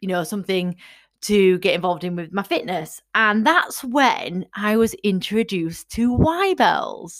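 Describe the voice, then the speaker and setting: A woman with an English accent speaks at a fairly slow pace and medium pitch. Her intonation is lively, and the recording is very clean with a silent background. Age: 30s. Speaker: fitness coach. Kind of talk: casual monologue. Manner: animated.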